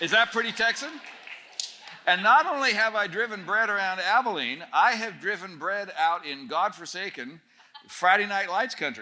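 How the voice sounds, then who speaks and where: Amid noticeable background noise, a man projects a raised, high-pitched voice with lively intonation at a moderate pace. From Northern Ontario, Canada. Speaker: speaker at a student camp. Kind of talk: talk to a student audience. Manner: conversational, humorous storytelling.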